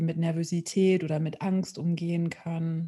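A woman speaks in a fairly low, somewhat breathy voice with a dark, mellow tone and flat, monotone intonation over a quiet background. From Ruhr area, Germany (Witten). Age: 30s. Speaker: peace worker and board member. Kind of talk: podcast interview.

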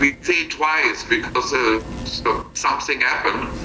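A man is speaking. Music plays in the background. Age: 60s. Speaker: missionary. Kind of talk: testimony. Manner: halting.

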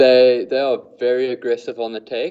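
Speaking fairly slowly, a man with a South African accent talks at a medium pitch. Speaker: fly fishing guide. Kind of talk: casual interview chat. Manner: hesitant, filler-heavy, repeats words.

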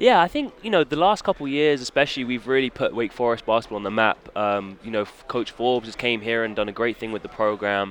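A man with a British accent talks at a very fast pace with hardly any pauses. His pitch is medium, with ordinary pitch variation. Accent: British English, noticeable. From England. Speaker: college basketball guard. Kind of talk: casual interview.

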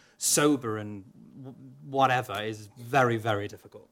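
The recording is very clean, with a silent background. A man speaks in a Welsh accent. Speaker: opera singer. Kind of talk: panel interview. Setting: stage with audience.

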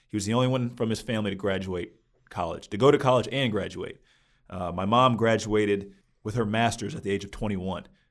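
A man talks very fast in a very clean recording with a silent background. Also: fairly even intonation. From eastern and southern US, moved often. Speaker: guest, former basketball player. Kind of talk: interview about race and faith. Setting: studio.

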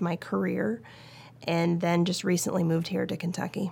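A woman with an American accent and an unremarkable speaking voice speaks at a fairly low pitch with fairly even intonation, on a very clean recording with a silent background. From Oregon, US. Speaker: orthopedic surgeon. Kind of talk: interview.

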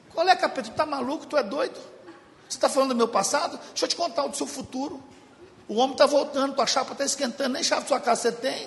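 A man talks at a very fast pace in an animated tone, his pitch extremely high with ordinary variation. Noticeable background noise sits behind him. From Brazil, Belo Horizonte (Minas Gerais). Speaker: guest preacher. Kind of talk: sermon.

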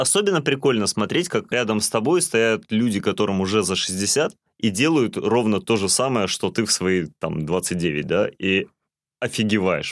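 In a very clean recording with a silent background, a man with a fairly low voice speaks fairly slowly, his pitch swinging very widely while his loudness stays very even. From Russian North (reindeer herding region). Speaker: podcast co-host. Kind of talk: casual chat.

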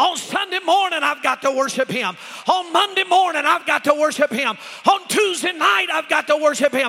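A man's extremely high-pitched, raised and projected voice with lively intonation at a moderate pace, over noticeable background noise. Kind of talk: sermon. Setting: church. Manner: animated; call-and-response, urging the crowd to shout back.

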